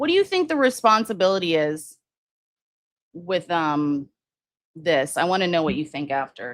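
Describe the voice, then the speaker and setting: Her fairly low voice has lively intonation and moves at a moderate pace, broken by long, frequent pauses. The woman is recorded very cleanly, with a silent background. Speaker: true crime livestream host. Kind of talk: casual livestream commentary with chat. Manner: hesitant, many fillers and restarts.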